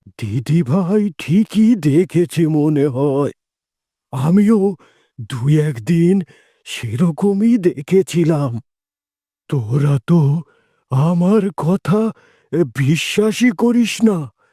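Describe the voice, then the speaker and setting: A man puts on a cartoonish character voice, pitched high and moving very slowly, with lively intonation in a dry, close sound with no echo. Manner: gentle, worried.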